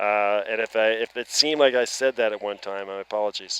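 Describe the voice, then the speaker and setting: A man with an Atlantic Canadian accent at a fairly quick pace, ordinary pitch variation, and a dry, close sound with no echo. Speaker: baseball play-by-play commentator. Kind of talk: live sports commentary.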